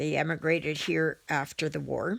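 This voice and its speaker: This very clean recording, with a silent background, features a woman speaking in a Canadian Prairies accent. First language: German. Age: 60s. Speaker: cross-stitch video creator. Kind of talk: casual vlog chat. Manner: halting, many fillers.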